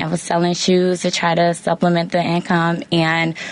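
A woman speaks at a moderate pace and a fairly low pitch. Background noise is noticeable. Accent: American. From Chicago area, Illinois. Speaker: nonprofit education executive. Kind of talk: interview.

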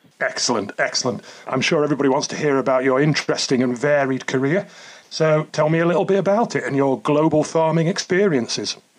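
A man's words come very fast over noticeable background noise, his pitch varying in an ordinary way. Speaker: podcast host. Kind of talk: interview.

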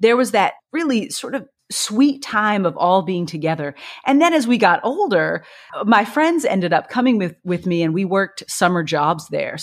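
Her pitch is medium, but it swings very widely as this woman talks. She keeps a moderate pace in a slight Kentucky accent. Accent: slight Kentucky twang. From Kentucky (Bardstown, central Kentucky). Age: 40s. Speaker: poet and YA author. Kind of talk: interview conversation. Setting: remote call.

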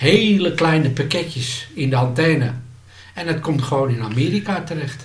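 The speaker talks at a moderate pace with ordinary pitch variation, while audible room echo and noticeable background noise fill the recording. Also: man, fairly high pitch for a man. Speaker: former pirate radio amateur. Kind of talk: casual interview. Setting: at home.

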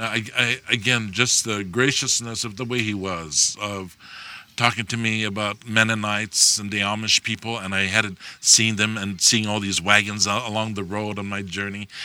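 The speaker talks at a moderate pace in a Hawaiian accent. The intonation is monotone and flat. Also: man, fairly low pitch for a man. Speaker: Native Hawaiian activist. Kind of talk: personal storytelling. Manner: halting.

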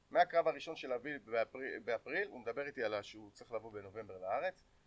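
Man's voice, fairly high-pitched with vocal fry and very wide pitch swings, at a fairly quick pace, the sound dry and close with no echo. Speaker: MMA fighter and event promoter. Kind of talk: casual chat.

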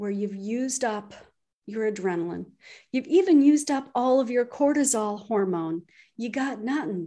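With an ordinary speaking voice and a Canadian accent, a woman of fairly high pitch speaks at a moderate pace with lively intonation against a quiet background. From Canada. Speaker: physician and stress coach. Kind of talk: interview conversation.

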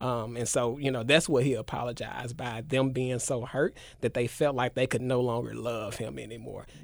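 A man speaks at a medium pitch with vocal fry and fairly even intonation. His pace is moderate, with hardly any pauses. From Memphis, Tennessee, US South. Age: 20s. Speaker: educator and community worker. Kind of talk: casual interview. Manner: halting, many fillers.

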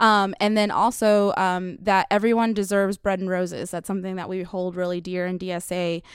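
A woman with an American accent speaks at a fairly quick pace, with hardly any pauses, in a monotone, flat intonation at a medium pitch, on a very clean recording with a silent background. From Dallas, Texas (Webb Chapel area). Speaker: community organizer. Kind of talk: casual interview.

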